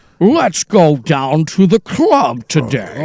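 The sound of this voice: A man puts on a character voice with a menacing, theatrical tone and a fairly high pitch. He speaks at a very slow pace.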